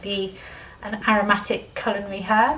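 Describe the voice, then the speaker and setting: A soft-spoken woman talks at a medium pitch over noticeable background noise. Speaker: medical herbalist. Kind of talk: talk to a small group. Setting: small group meeting with audience.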